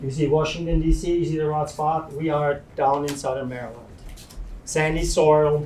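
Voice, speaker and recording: In a room with audible echo, a man talks in a flat, monotone way. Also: fairly high pitch for a man, moderate pace. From Switzerland. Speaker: farmer. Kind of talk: slide presentation talk.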